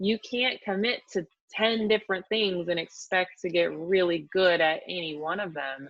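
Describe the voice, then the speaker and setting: With an American accent, a woman has an unremarkable speaking voice at a medium pitch. She talks at a moderate pace with lively intonation. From US Pacific Northwest, Washington State. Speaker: fitness expert and author. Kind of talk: casual chat. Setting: podcast interview.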